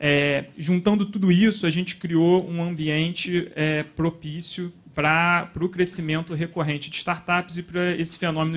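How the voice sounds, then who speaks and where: The quiet background holds a man's voice. His pitch is high and his intonation monotone and flat. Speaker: panelist, startup investor. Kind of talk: panel talk. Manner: fast.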